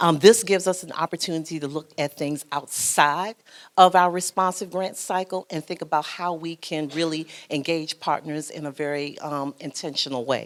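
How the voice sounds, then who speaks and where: Fairly even intonation at a moderate pace, big swings in loudness, very clean recording with a silent background. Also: woman, very deep, low pitch for a woman. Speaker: foundation program officer and social worker. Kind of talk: panel presentation. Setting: conference breakout session.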